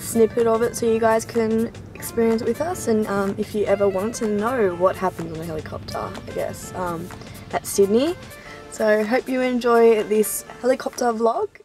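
A woman talks in a dry sound with no echo while clear music plays in the background. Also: ordinary pitch variation, moderate pace. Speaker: vlogger. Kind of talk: casual vlog chat. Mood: excited, friendly. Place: car. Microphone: phone near.

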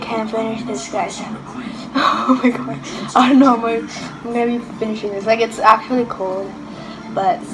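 Clear music plays in the background as a woman speaks at a moderate pace with ordinary pitch variation. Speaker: vlogger. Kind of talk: casual vlog chat. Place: home room. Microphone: phone near.

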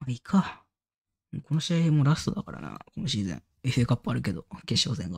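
The speech moves at a very fast pace, broken by long, frequent pauses. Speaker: gaming YouTuber. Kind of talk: casual gameplay commentary. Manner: thinking aloud, casual.

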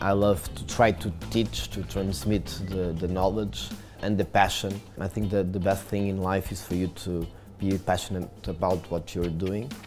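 Faint music plays in the background as a man speaks with a very deep, low pitch. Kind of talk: interview answer. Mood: warm, passionate. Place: cafe. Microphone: lapel.

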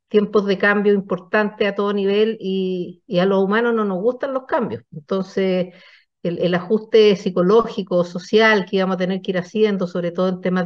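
With a quiet background, a woman speaks at a moderate pace in fairly even intonation. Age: 60s. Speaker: business founder and executive. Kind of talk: interview. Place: home room. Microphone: video call.

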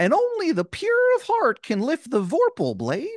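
Against a quiet background, a man uses a put-on character voice with an extremely high pitch at a moderate pace. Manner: exaggerated, parodic.

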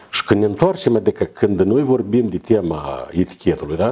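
This man's voice has a dark, mellow tone and a fairly low pitch. He talks at a moderate pace. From Moldova. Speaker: guest or co-host. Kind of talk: casual chat. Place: studio.

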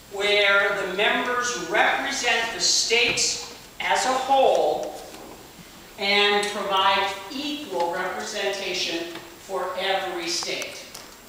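At a very slow pace, the voice comes through strong room echo with light background noise. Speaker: tour guide. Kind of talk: guided tour talk. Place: hall. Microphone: camera far.

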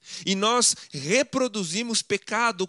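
Against a quiet background, a man projects a raised, high-pitched voice with a bright, sharp tone and a dry sound with no echo. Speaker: preacher. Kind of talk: sermon. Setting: church. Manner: formal, didactic; emphatic, persuasive. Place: home room.

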